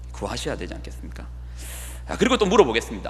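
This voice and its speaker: Man's voice with audible room echo. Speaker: pastor. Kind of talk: sermon. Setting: church. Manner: fast.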